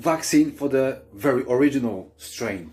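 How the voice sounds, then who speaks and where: With music in the background, a man speaks in an animated tone. His pitch is fairly high, and he talks with a non-native accent. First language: not English. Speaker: vlogger. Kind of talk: opinion rant to camera.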